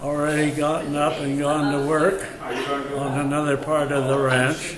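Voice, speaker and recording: A man with an American accent speaks at a very slow pace in a fairly high pitch, with monotone, flat intonation and very even loudness, amid audible room echo and noticeable background noise. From California (Carpinteria). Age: 80s+. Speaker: elderly local resident. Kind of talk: oral history reminiscence. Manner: halting, many fillers.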